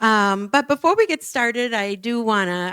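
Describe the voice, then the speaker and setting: In an Upper Midwest accent, the speaker goes at a fairly slow pace with ordinary pitch variation. The recording is very clean, with a silent background and a dry, close sound with no echo. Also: woman. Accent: Upper Midwest American. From Minnesota, US Midwest. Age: 60s. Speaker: nonprofit director. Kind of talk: public talk. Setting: church forum with audience. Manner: conversational.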